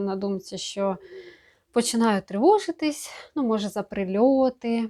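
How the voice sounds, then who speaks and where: A fairly high-pitched woman's voice with a dark, mellow tone at a moderate pace, on a very clean recording with a silent background. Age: 30s. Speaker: video blogger, mother. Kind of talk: personal vlog monologue. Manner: halting, with many filler sounds.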